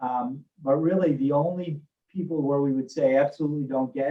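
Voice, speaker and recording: The man's voice sits fairly high in pitch. His intonation stays fairly even. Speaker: hospital physician and medical executive. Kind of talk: Q&A session on health. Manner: mumbling.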